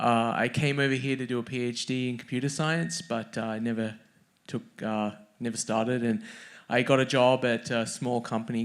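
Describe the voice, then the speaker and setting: In a very clean recording with a silent background, a man with an Australian accent talks at a moderate pace and medium pitch with fairly even intonation. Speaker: author and software engineer. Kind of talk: conference fireside chat. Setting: stage with audience.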